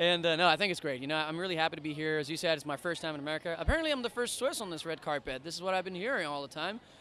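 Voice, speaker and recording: Over noticeable background noise, the speaker talks at a very fast pace with hardly any pauses and ordinary pitch variation. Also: man, high pitch for a man. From French-speaking Switzerland, Lausanne. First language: French. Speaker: singer. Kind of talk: red carpet interview. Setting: outdoors red carpet event.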